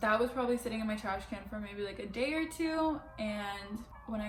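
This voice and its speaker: With noticeable background noise behind her, a woman with an American accent talks at a fairly quick pace in a fairly high pitch. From Miami, Florida. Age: 20s. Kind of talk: casual talk to camera.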